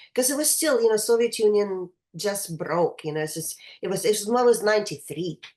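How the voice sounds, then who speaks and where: Talking at a fairly quick pace, a woman with a Russian accent uses lively intonation at a medium pitch. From Russia, St. Petersburg. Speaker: choral conductor. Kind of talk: interview. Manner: halting.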